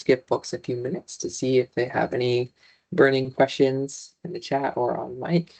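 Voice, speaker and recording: The man's voice is somewhat breathy, with ordinary pitch variation and big swings in loudness, in a dry, close sound with no echo. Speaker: librarian presenting a webinar. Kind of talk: online presentation. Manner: fast.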